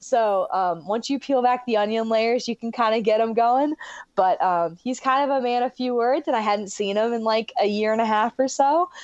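An unremarkable speaking voice from a woman with an American accent. She talks at a moderate pace, with a fairly high pitch and ordinary pitch variation. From Michigan. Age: 20s. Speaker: professional swimmer. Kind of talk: casual interview.

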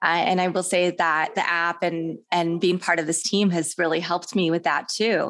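A woman with an American accent at medium pitch and moderate pace, a plain, everyday voice. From Kansas. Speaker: podcast host. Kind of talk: interview.

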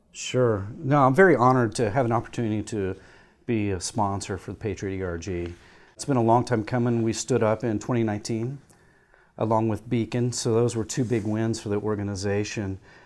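An ordinary speaking voice from a man with an American accent, medium pitch and fairly even intonation, at a fairly quick pace, in a very clean recording with a silent background. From rural Indiana. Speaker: Air Force veteran and company executive. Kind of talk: interview.

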